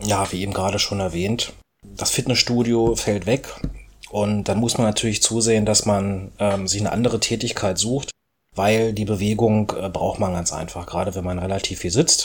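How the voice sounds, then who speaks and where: A man with a fairly low pitch talks at a moderate pace, somewhat breathy, with fairly even intonation. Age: 30s. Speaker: orthopedic shoemaker. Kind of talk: interview.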